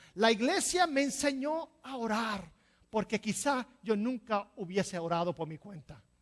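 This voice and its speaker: Her loudness swinging a lot and her pitch moving very widely, a woman speaks at a fairly slow pace. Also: fairly high pitch for a woman. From New Jersey, Puerto Rican family. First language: English (speaking Spanish). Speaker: pastor. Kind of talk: sermon. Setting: church.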